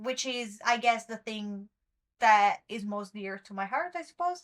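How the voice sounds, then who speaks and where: At a fairly slow pace, a woman with a non-native accent speaks at a fairly high pitch. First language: not English. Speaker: webtoon commentary youtuber. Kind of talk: solo commentary monologue. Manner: occasional stumbling over words; casual, chatty.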